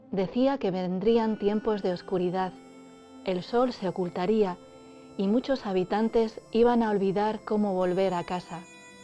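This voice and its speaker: A woman speaks at a medium pitch with fairly even intonation and a fairly slow pace. Music plays in the background. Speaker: storyteller. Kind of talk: story narration.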